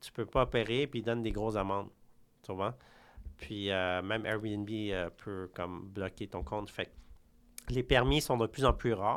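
Speaking at a fairly slow pace, a man talks in a fairly low voice. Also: ordinary pitch variation. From Quebec. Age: 30s. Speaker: real estate broker. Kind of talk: interview. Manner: halting.

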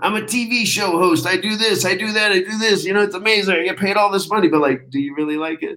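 Raised and projected, a man's high voice comes at a very fast pace with ordinary pitch variation. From United States, moved around (Texas, Florida, California). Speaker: military veteran, former Army Ranger and Air Force pararescue. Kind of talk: casual interview chat.

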